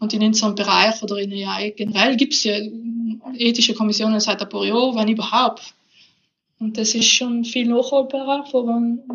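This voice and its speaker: With a South Tyrolean accent, a woman talks at a fairly high pitch in monotone, flat intonation. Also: moderate pace. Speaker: professor of natural language processing. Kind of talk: casual interview.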